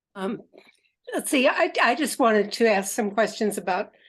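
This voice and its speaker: Somewhat breathy and fairly high-pitched, a woman speaks at a moderate pace with lively intonation and long, frequent pauses. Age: 70s. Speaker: participant. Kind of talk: casual chat.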